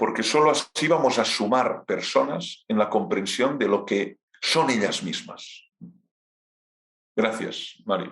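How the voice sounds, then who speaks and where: Speaking at a very slow pace with a Catalan accent, a man uses a medium pitch with very wide pitch swings and long, frequent pauses. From Catalonia, Spain. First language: Catalan (speaking Spanish). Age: 50s. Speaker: philosophy professor. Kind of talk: lecture Q&A.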